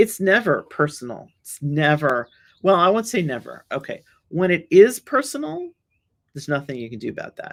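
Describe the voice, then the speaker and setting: Speaking in a New York accent at a moderate pace, a woman with a fairly low pitch makes very wide pitch swings and big swings in loudness. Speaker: solutions engineer. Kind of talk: webinar talk with audience Q&A. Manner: halting, with many repetitions and fillers.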